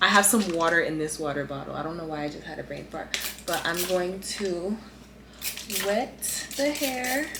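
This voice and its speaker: Audible room echo and noticeable background noise surround the recording. A woman with a fairly low pitch speaks at a moderate pace. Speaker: beauty vlogger. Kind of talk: casual chat. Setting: at home, late at night.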